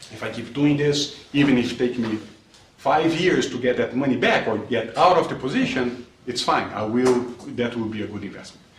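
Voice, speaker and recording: A man with a Brazilian Portuguese accent speaks at a moderate pace in a medium pitch with ordinary pitch variation, with noticeable background noise and audible room echo. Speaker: investment manager. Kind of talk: lecture Q&A. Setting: classroom with audience. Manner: halting, repeats words.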